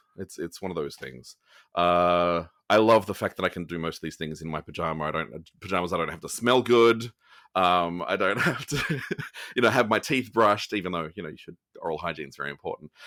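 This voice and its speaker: A man with an Australian accent speaks at a fairly quick pace in a very deep, low voice with a bright, sharp tone. His intonation is lively and his loudness swings widely. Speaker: actor. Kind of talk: interview answer.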